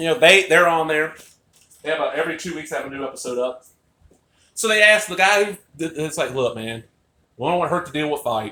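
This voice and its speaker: A man talks loud and very fast with lively intonation and a bright, sharp tone. Long, frequent pauses break up his speech. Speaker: wrestling fan vlogger. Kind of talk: casual vlog monologue. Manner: animated.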